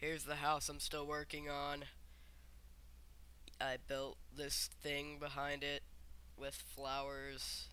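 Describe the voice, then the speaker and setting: A quiet man at a very slow pace, with long, frequent pauses. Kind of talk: casual gameplay commentary. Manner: quiet, subdued; sarcastic.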